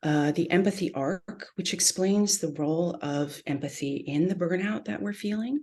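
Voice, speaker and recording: Soft-spoken, a woman talks with a fairly low pitch and a dark, mellow tone. Her intonation is lively. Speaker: therapist leading a workshop. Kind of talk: online workshop lecture.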